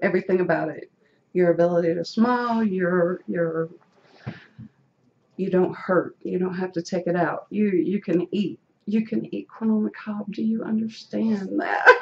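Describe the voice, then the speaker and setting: This woman speaks with a Southern US accent. Her pitch is medium and her pace moderate. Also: ordinary pitch variation. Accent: Southern US country. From rural North Carolina, US South. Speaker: dental implant patient. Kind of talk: casual interview.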